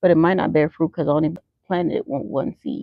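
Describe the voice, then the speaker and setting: This woman's voice sits fairly low. Vocal fry runs through her speech. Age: middle-aged. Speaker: YouTube livestreamer. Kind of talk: casual chat. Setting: outdoors.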